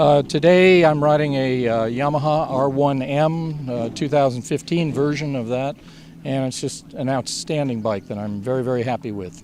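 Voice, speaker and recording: The speech moves at a moderate pace with ordinary pitch variation. Noticeable background noise runs underneath. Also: man, fairly high pitch for a man. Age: 70s. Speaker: motorcycle riding instructor and racer. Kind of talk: interview answers.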